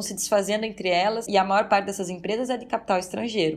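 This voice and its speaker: Against background music, a woman talks with fairly even intonation. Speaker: political scientist and professor. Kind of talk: interview.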